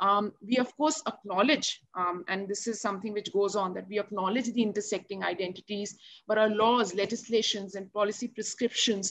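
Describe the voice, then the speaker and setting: A woman at medium pitch with an Indian accent, ordinary pitch variation and a moderate pace. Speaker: NGO program officer; panelist. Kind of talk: panel discussion. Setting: video call. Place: home room. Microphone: video call.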